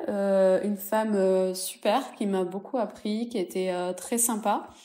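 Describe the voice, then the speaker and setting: A woman with a slight southern French accent speaks in a dark, mellow tone with fairly even intonation. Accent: slight singing southern French. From southwest France, Toulouse. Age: 30s. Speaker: entrepreneur. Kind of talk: interview. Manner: hesitant, many fillers.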